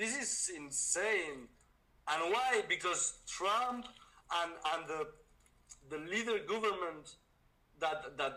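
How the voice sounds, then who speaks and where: Speaking with a Spanish accent, a man uses a raised, projected voice at a high pitch with lively intonation, moving at a very slow pace with long, frequent pauses. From Spain. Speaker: debater. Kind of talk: heated debate.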